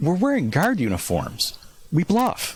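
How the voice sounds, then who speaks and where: A man puts on a character voice at a high pitch. His pitch swings very widely at a moderate pace. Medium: solo performance.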